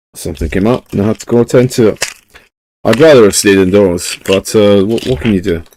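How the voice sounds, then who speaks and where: On a very clean recording with a silent background, a man with a Scottish accent speaks at a fairly quick pace in a fairly low pitch, his tone dark and mellow and his pitch variation ordinary. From Scotland. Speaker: live streamer. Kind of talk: casual chat.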